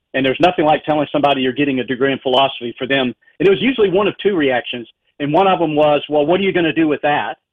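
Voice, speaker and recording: A man with a Southern US accent and a fairly high pitch talks at a very fast pace with ordinary pitch variation. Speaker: professor of philosophy and apologetics. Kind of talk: interview discussion on philosophy. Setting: radio broadcast.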